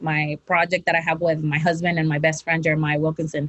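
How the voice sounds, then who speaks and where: Fairly quick speech from a woman. She has a Mexican accent. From Mexico, Tijuana. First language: Spanish. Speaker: professional wrestler. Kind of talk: interview. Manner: halting, repeats words.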